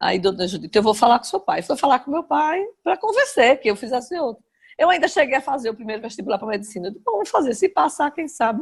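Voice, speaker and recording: Speaking very fast, a woman uses a high pitch. Her pitch swings very widely. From Brazil, Aracaju (Sergipe). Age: 60s. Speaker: journalist. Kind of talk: interview, personal memories.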